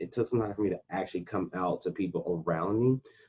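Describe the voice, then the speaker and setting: In an unremarkable speaking voice, a man with an American accent talks at a fairly low pitch with fairly even intonation, the sound dry and close with no echo. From USA, Oklahoma. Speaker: military veteran and coach. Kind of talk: interview answer.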